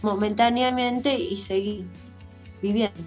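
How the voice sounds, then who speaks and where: The speaker is a woman. Music plays in the background. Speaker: children's book writer and teacher. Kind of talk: interview answer.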